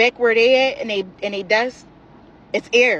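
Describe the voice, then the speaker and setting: A woman speaks in an animated tone at a moderate pace. Her pitch is fairly high, with ordinary variation. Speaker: social media poster. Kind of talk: rant. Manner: loud.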